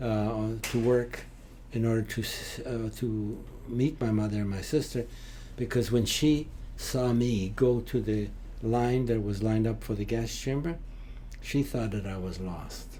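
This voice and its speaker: A man with a medium pitch talks at a fairly slow pace with fairly even intonation. Audible room echo and noticeable background noise fill the recording. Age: 80s+. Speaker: Holocaust survivor. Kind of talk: interview. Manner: halting, frequent uh fillers.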